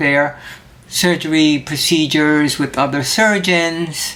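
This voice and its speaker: A woman with a fairly low voice is heard over noticeable background noise. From Puerto Rico. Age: 60s. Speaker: cooking show host. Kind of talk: personal testimony. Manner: casual.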